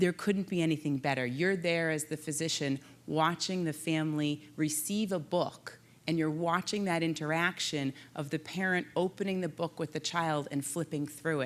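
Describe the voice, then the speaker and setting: Pitched very deep and low, a woman talks at a moderate pace with fairly even intonation. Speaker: panel moderator, physician. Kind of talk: conference panel moderation. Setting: conference stage with audience. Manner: loud.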